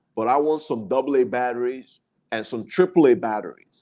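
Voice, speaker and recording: The speaker is a man with a medium-pitched voice. He keeps a moderate pace. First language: not English. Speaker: YouTuber, travel and business vlogger. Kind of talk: live stream talk. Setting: live stream on camera. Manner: long-winded, over-explaining.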